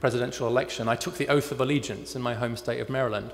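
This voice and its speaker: A man with a British accent talks at a very fast pace over noticeable background noise. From United Kingdom. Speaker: think tank fellow and author. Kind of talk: keynote speech.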